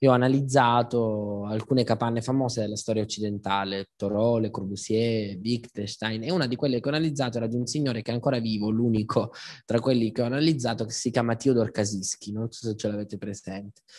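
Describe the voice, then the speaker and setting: Very rapid male speech in quiet surroundings. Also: medium pitch for a man, fairly even intonation. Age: 30s. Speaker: philosopher and lecturer; speaker. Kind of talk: public talk. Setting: stage with live audience. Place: hall. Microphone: handheld.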